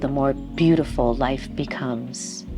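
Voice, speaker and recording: Over music in the background, a woman talks at a fairly slow pace in a calm tone. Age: 60s. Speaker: yoga teacher. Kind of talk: guided chair yoga class. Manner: calm, soft-spoken, instructional.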